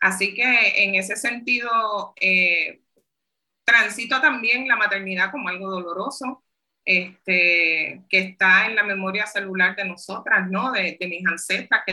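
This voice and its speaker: This is a normal speaking voice from a woman at a medium pitch. She speaks at a fairly slow pace with ordinary pitch variation. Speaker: community organizer and public health worker, book author. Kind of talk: interview conversation.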